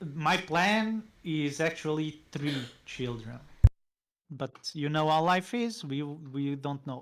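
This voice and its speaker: A man's fairly high voice with a non-native accent, at a very slow pace and with ordinary pitch variation. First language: not English. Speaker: university marketing professor. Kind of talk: casual interview chat.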